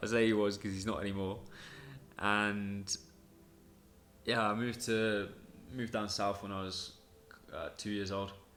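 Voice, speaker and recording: With audible room echo, a man in a southern English accent speaks at a moderate pace and fairly low pitch, his intonation monotone and flat, with long, frequent pauses. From southern England. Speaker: podcast host. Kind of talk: personal storytelling monologue. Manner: casual, with many fillers.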